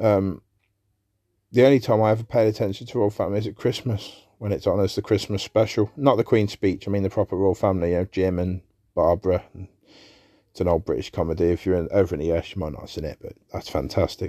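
A man's very fast speech, fairly low in pitch with ordinary variation and a dark, mellow tone, dry and close with no echo, on a very clean recording with a silent background. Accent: English. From England. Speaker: podcast host. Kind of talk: casual monologue. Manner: hesitant, many fillers.

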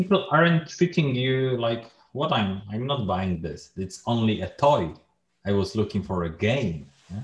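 A somewhat breathy man's voice at medium pitch, with a Polish accent, very wide pitch swings and a fairly slow pace. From Poland. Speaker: podcast host. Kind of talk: casual interview.

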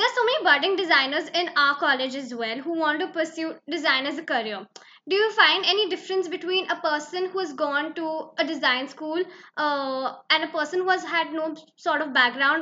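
A woman projects her raised voice at an extremely high pitch, her tone bright and sharp. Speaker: student podcast host. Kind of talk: interview.

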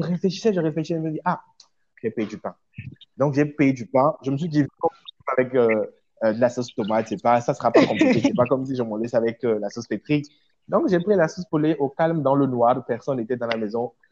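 A man with an unremarkable speaking voice talks at a fairly quick pace and medium pitch, his intonation lively, in a dry, close sound with no echo. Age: 20s. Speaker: hotelier and web presenter. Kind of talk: casual chat.

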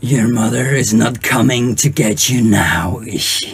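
In a raspy put-on character voice, a man speaks fairly slowly at a medium pitch. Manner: taunting.

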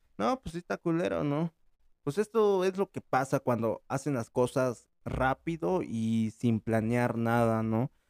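A man's normal speaking voice at a medium pitch, with lively intonation and a fairly slow pace, dry and close with no echo on a very clean recording with a silent background. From Mexico. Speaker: podcast host. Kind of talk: casual chat.

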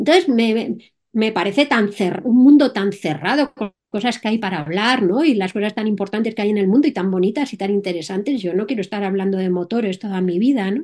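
A woman with a Madrid accent talks at a fairly quick pace and medium pitch, with ordinary pitch variation, hardly any pauses and a quiet background. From Spain, Madrid. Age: 60s. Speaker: entrepreneur and solo motorcycle traveller. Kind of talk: interview.

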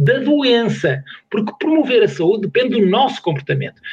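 High male voice at a moderate speed, its pitch swinging very widely. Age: 60s. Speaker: sports science professor. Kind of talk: casual chat.

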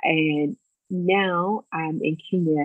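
A woman's very deep, low-pitched voice. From US South, Virginia (Lexington). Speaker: school recruiter and missionary educator. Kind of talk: casual interview.

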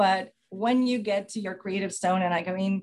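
This woman has a normal speaking voice at a medium pitch with ordinary pitch variation. The background is quiet. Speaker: station advisor or mentor. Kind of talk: heartfelt farewell speech. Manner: warm, emotional.

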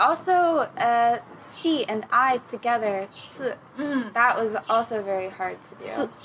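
This woman speaks with an American accent at a very slow pace. Her pitch is high and her intonation lively. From Texas. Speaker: language learner. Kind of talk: casual chat.

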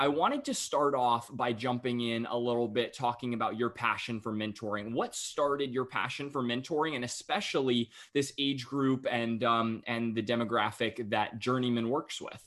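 An ordinary speaking voice, a man at medium pitch with fairly even intonation, a moderate pace and hardly any pauses against a quiet background. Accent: American. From North Carolina (Cary, near Raleigh). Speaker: podcast host. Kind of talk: interview conversation.

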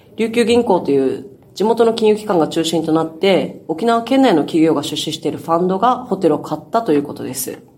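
A woman's fairly quick speech in an ordinary speaking voice with lively intonation. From Okinawa, northern main island (Nago). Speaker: newspaper reporter. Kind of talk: news discussion.

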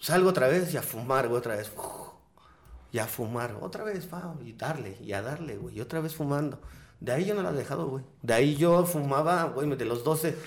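A man at a fairly high pitch and fairly quick pace, somewhat breathy, with ordinary pitch variation and audible room echo. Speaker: cannabis podcaster. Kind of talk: casual chat.

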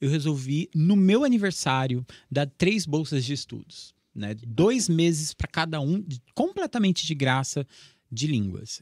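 A man talks at a moderate pace in a plain, everyday voice with a fairly high pitch and lively intonation. The sound is dry and close, with no echo. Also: very clean recording, silent background. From Brazil, Assis (São Paulo state). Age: 30s. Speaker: teacher. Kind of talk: casual chat.

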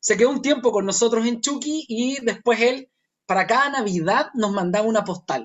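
A man speaks with a Chilean accent in an extremely high pitch. His pace is moderate and his pitch variation ordinary. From northern Chile, Chuquicamata. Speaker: performing arts company founder. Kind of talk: casual interview conversation. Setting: remote call from home. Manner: halting, repeats words.

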